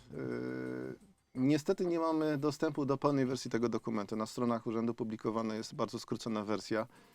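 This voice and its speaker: The man's voice sits at a medium pitch. Its pitch varies in an ordinary way. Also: fairly quick pace. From Upper Silesia, Poland (Zabrze). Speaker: mayoral candidate, former city official. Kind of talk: radio interview. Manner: hesitant, with fillers and repetitions.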